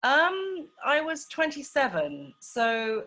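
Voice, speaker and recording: Her tone is bright and sharp. The woman speaks with an English accent. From England. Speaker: documentary filmmaker. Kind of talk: casual chat. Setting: video call. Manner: halting.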